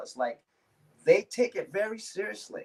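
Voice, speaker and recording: Intonation here is lively. A man speaks at a moderate pace. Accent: American. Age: 60s. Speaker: dance teacher. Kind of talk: casual chat. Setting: live stream.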